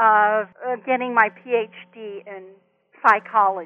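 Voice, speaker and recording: This woman speaks with an American accent. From US West Coast (Compton, Los Angeles area). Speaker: retired hospice social worker and children's author. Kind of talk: interview. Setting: phone call.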